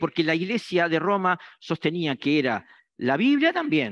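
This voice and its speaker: Against a quiet background, a man speaks at a fairly slow pace with very wide pitch swings, the sound dry and close with no echo. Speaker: preacher. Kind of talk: sermon. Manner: halting, many fillers.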